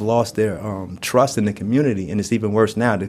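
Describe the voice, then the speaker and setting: With a New York accent, a man talks at a fairly quick pace in a fairly low pitch, his intonation fairly even. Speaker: prison inmate. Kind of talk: panel discussion. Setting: prison.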